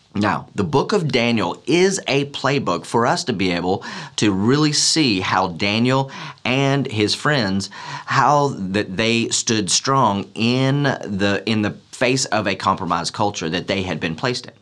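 The man's intonation is lively and his pace fairly slow. Behind him the background is quiet. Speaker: pastor. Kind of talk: sermon. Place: hall.

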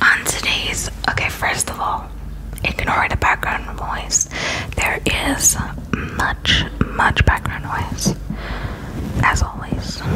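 Whispering at a very slow pace with long, frequent pauses, a woman speaks in a relaxed tone over noticeable background noise. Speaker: ASMR creator. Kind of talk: casual rambling talk to camera about TV dramas. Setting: recorded at home with background noise and planes passing. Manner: soft, relaxed.

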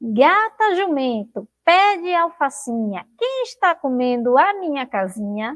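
Using a put-on character voice, a woman speaks at a high pitch with very wide pitch swings. Her pace is fairly slow. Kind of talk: storytelling read-aloud. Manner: creepy, spine-chilling.

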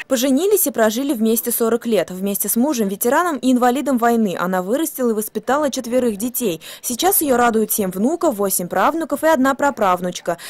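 A woman speaks with a high pitch and lively intonation at a fairly quick pace. Her loudness stays very even. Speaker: TV news reporter. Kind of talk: local TV news narration.

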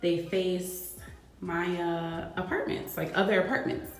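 Light background noise and audible room echo surround a woman as she speaks. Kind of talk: casual vlog chat. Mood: happy, excited. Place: empty room. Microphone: phone near.

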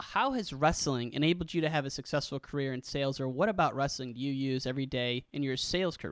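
On a very clean recording with a silent background, someone with an American accent talks at a very fast pace with hardly any pauses. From Illinois. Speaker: podcast host. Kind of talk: casual interview; scripted narration.

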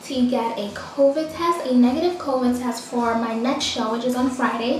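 A woman speaks at a fairly slow pace in a high voice with ordinary pitch variation, her words carrying audible room echo over light background noise. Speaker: model vlogger. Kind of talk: casual vlog chat. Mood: stressed, venting frustration. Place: bathroom. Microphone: phone near.

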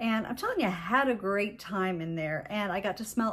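This woman's voice is somewhat breathy. Her pitch moves up and down in an ordinary way. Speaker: fragrance vlogger. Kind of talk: casual vlog chat. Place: home room. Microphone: phone near.

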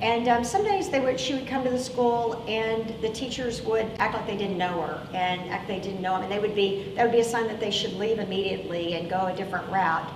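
A woman talks at a fairly quick pace with hardly any pauses and ordinary pitch variation. Noticeable background noise runs underneath. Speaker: pastor. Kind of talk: sermon. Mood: earnest, grave. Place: church. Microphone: lapel.

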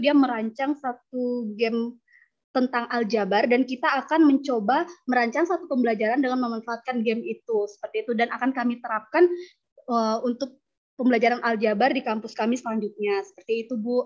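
Speaking at a fairly quick pace, a woman holds a high pitch with fairly even intonation. The background is quiet. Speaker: lecturer. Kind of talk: conference presentation. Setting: video call. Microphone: video call.

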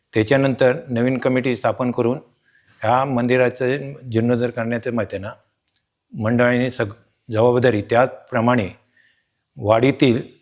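In a monotone, flat way, a man talks at a medium pitch. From Konkan, Ratnagiri district (Lanja). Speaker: retired hospital worker, temple committee member. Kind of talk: short interview statement. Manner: halting.

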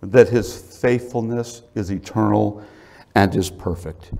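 Very slow speech from a man. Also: quiet background. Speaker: preacher. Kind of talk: sermon. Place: church.

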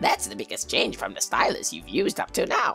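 Over clear music in the background, a man speaks in a put-on character voice. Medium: solo performance. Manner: formal, grandmotherly.

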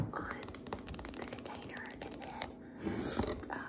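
Noticeable background noise is present. Under it, a woman whispers at a very slow speed. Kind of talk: ASMR cook-along, whispered talk to camera. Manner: whispered.

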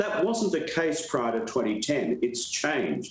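This man's speech carries audible room echo. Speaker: former politician, remote guest. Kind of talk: interview answer. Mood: firm, argumentative. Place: home room. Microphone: video call.

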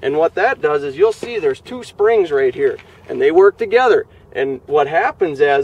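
Recorded dry with no echo, a man speaks at a moderate pace. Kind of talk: product walkthrough interview. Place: open country.

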